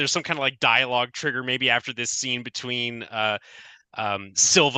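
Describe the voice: The text is read aloud plainly. Nothing more is done with it.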